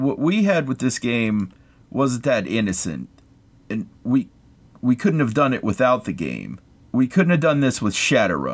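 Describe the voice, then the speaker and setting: Speaking at a fairly slow pace, a man with an American accent uses a medium pitch with very wide pitch swings and vocal fry. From US, West Virginia. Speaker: podcast co-host. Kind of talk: casual chat.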